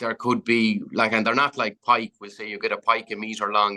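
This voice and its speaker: A man with an Irish accent has a bright, sharp tone at a medium pitch, with ordinary pitch variation and a dry, close sound with no echo. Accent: Irish (Clare). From County Clare, Ireland. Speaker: fly fishing guide. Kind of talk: podcast interview answer. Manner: casual, chatty.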